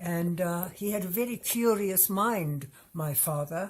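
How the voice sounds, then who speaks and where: Somewhat breathy, a woman speaks at a very slow pace and medium pitch with ordinary pitch variation. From Germany, Hamburg. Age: 80s+. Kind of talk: testimony.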